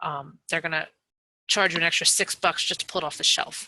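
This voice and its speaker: A woman with a fairly low-pitched, bright, sharp voice talks at a very fast pace. Her intonation is monotone and flat. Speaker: online seller giving a training webinar. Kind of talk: webinar tutorial. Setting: webinar with screen share.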